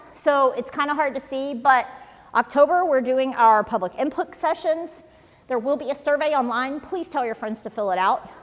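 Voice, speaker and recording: With ordinary pitch variation, a woman talks in a high register. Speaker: city official presenting to residents. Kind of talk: public presentation. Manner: fast.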